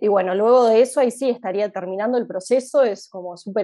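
A woman talks at a fairly quick pace with a fairly high pitch and lively intonation. Her tone is dark and mellow. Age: 20s. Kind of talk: interview. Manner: hesitant, many fillers.

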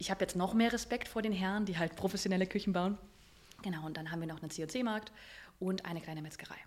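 Her pitch sits at medium and varies in an ordinary way. This woman speaks very fast. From Germany, northern Hesse. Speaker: business owner and coach. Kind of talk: interview. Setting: recorded in a restaurant.

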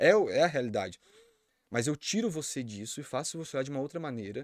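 Talking very fast with very wide pitch swings, a man comes through in a dry, close sound with no echo on a very clean recording with a silent background. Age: 20s. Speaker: magician and hypnotist. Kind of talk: casual chat.

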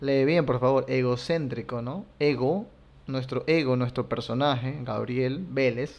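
Here is a man with a normal speaking voice at medium pitch. His pace is fairly slow and his intonation fairly even. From Latin America. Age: 30s. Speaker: content creator. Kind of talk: personal monologue.

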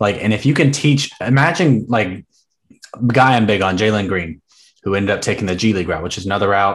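Against a quiet background, a man with an American accent uses a plain, everyday voice at a fairly low pitch with lively intonation. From US South. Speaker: podcast host. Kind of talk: casual chat.

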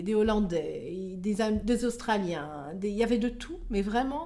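With audible room echo, a woman speaks in a dark, mellow tone with ordinary pitch variation. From France. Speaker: expatriate. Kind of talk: interview. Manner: hesitant.

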